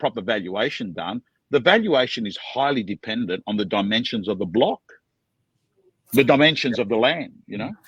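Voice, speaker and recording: A man with an Australian accent talks at a fairly quick pace, his medium-pitched voice carrying lively intonation. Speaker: auctioneer. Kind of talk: interview answer.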